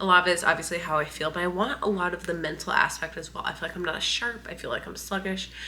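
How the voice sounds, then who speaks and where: Against noticeable background noise, a woman with an American accent talks very fast with hardly any pauses, her fairly low voice holding a fairly even intonation. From US Midwest. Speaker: lifestyle vlogger. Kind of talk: casual vlog talk to camera. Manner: casual, conversational.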